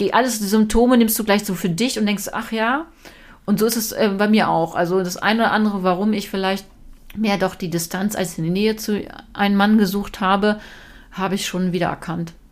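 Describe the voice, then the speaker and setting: A woman's plain, everyday voice, medium in pitch, fairly even in intonation, at a fairly quick pace. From Lower Saxony, Germany (Braunschweig). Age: 40s. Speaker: TV presenter. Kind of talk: casual interview chat. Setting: at home in her kitchen.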